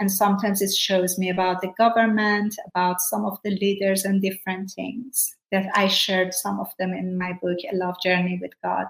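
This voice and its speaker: A woman with a Persian accent, medium in pitch and somewhat breathy, at a moderate pace with monotone, flat intonation and hardly any pauses. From Iran. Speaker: former prisoner and evangelist. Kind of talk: interview testimony.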